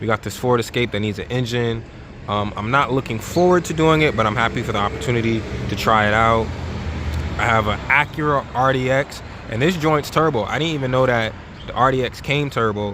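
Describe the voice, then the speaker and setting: Noticeable noise fills the background. A man talks fairly quickly over it. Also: medium pitch for a man, ordinary pitch variation. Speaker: auto mechanic and shop manager. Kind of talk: casual vlog shop tour. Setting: auto repair shop, partly outdoors. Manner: stuttering a bit; casual, filler-heavy.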